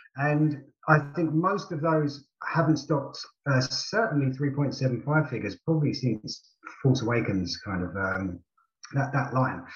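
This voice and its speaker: A man with a British accent speaks at a fairly slow pace, with lively intonation. Vocal fry runs through his voice. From UK. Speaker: co-host.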